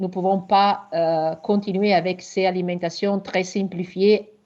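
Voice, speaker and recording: A woman with an Italian accent, medium pitch and fairly even intonation, over a quiet background. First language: Italian (speaking French). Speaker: researcher. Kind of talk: webinar presentation Q&A. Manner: halting.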